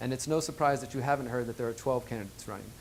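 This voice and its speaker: Speaking with an American accent, a man uses ordinary pitch variation at a medium pitch. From Houston, Texas. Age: 30s. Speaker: mayoral candidate. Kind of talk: campaign pitch.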